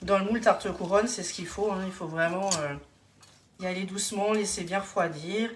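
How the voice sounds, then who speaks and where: A woman at a medium pitch talks at a moderate pace with fairly even intonation. Audible room echo and noticeable background noise surround her. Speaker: home cook and kitchenware consultant doing a live demo. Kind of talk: live cooking demonstration. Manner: hesitant, many fillers.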